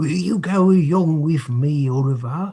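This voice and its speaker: A put-on character voice from a man, moderately paced and fairly high-pitched. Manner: majestic, pompous.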